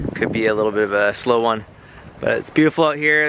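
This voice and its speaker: Noticeable background noise surrounds a man whose pitch varies in an ordinary way, the sound dry with no echo. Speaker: sailing vlogger. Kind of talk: casual vlog chat. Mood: relaxed, content. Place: boat. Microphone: phone near.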